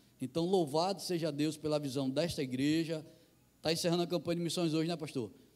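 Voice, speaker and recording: Fairly quick speech with a northeastern Brazilian accent, fairly even intonation and very even loudness. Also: man, fairly high pitch for a man. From Brazilian Northeast. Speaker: missionary pastor. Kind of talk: sermon. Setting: church.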